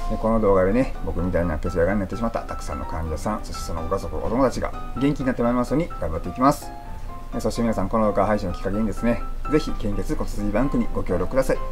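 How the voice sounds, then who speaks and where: In an Osaka accent, the speech goes at a very fast pace over clear music in the background. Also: man. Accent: Kansai (Osaka dialect). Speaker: leukemia patient. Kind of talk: casual talk to camera. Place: home room. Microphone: phone near.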